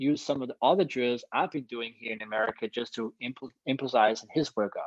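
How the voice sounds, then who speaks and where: With a Danish accent, a man talks at a fairly quick pace, his medium pitch showing ordinary variation. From Denmark, Copenhagen. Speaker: long jumper. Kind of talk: interview.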